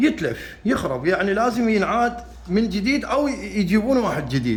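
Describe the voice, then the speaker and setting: A man with an Iraqi accent speaks in a high voice, with audible room echo and noticeable background noise. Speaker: carpenter and how-to video maker. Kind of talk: tutorial. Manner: halting, with repeated restarts.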